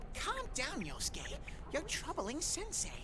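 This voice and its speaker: Loud background noise sits behind a put-on character voice delivered at a fairly slow pace. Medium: game stream. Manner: bubbly, exclamatory.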